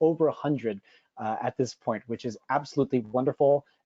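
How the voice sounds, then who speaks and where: This man has an ordinary speaking voice, fairly high in pitch with ordinary pitch variation and an American accent. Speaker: cheesemonger, panelist. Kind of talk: webinar panel presentation. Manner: many filler words (uh).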